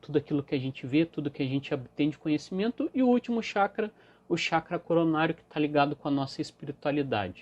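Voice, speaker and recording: With a fairly high pitch, a man talks in an ordinary speaking voice. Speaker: emotional wellbeing coach. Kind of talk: live stream talk. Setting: Instagram live.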